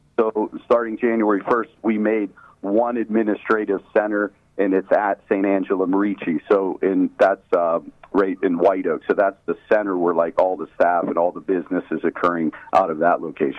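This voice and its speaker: This man has a normal speaking voice, fairly low in pitch, with an American accent. His intonation is fairly even and his pace moderate. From Pittsburgh, Pennsylvania. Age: 50s. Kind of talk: interview.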